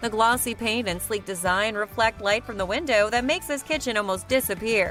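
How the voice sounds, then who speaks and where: A woman talks at a fairly quick pace with a fairly high pitch. Music plays in the background. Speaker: voice-over artist (hired freelance narrator). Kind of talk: corporate narration, home decor list video.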